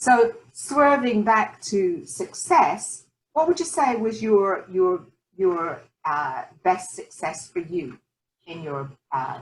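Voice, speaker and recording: Somewhat breathy speech from a woman with a British accent, medium in pitch, with very wide pitch swings. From Scottish Highlands. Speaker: talk show host and life coach. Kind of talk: interview.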